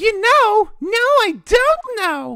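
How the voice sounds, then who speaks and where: This is a man doing a put-on character voice. It is squeaky and extremely high in pitch. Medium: game stream. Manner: energetic, exclamatory.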